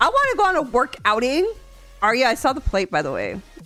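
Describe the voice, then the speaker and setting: With music playing in the background, a woman speaks in an animated tone. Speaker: streamer. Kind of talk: casual chat.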